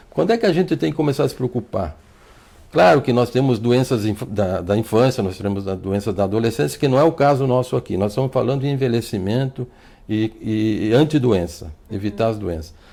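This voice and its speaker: A man talks at a fairly quick pace with a medium pitch. His tone is dark and mellow, and his intonation is lively. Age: 60s. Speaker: doctor. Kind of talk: TV interview. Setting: TV studio. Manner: halting, repeats words.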